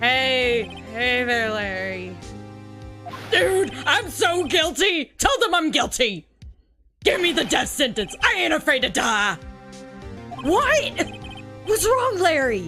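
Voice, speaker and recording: Faint music plays in the background as someone in a put-on character voice speaks at a fairly slow pace. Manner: overly dramatic, wailing.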